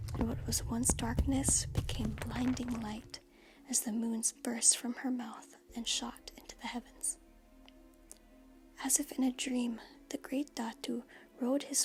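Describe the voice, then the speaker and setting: Soft-spoken whispering at a fairly slow pace, with music in the background. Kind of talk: soft-spoken ASMR story reading. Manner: soft-spoken, whispery.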